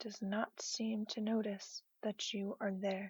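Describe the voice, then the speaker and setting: Somewhat breathy and fairly high, a woman's voice moves at a very slow pace. Her intonation is monotone and flat, the sound dry and close with no echo. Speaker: guided imagery narrator. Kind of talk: guided imagery sleep story.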